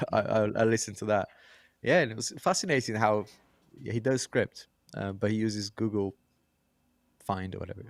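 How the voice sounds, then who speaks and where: With a non-native accent, a man talks at a fairly quick pace and fairly low pitch with ordinary pitch variation, leaving long, frequent pauses, in a dry, close sound with no echo. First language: not English. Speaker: podcast co-host and tech YouTuber. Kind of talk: casual chat. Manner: halting, stumbling over words.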